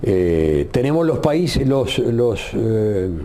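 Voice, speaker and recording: Through audible room echo and noticeable background noise, a man speaks at a very slow pace with very wide pitch swings. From Uruguay. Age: 70s. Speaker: retired radio journalist. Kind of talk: interview.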